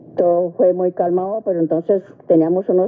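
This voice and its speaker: Moderate pace over noticeable background noise. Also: woman. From Colombia, Facatativá (Cundinamarca). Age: 80s+. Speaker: interviewee sharing life memories. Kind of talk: radio interview, life testimony.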